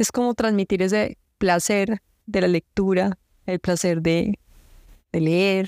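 Speaking at a very slow pace with long, frequent pauses, a woman holds a medium pitch, fairly even intonation and very even loudness, recorded very cleanly against a silent background with a dry, close sound and no echo. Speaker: poet and book publisher. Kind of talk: interview conversation.

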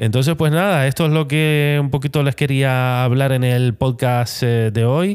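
Speaking at a fairly slow pace with hardly any pauses, a man holds a medium pitch with ordinary pitch variation and very even loudness on a very clean recording with a silent background. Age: 40s. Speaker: photographer and podcast host. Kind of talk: solo podcast monologue. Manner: halting, many fillers and repetitions.

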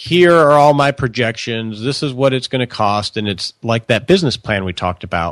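In a plain, everyday voice, a man with an American accent speaks at a medium pitch and moderate pace, with a dry, close sound and no echo. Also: lively intonation. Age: 40s. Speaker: financial advisor. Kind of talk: interview.

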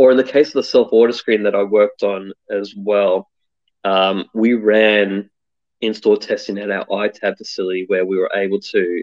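Here a man speaks in an Australian accent at a moderate pace. The sound is dry and close, with no echo. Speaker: UX designer. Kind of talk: interview.

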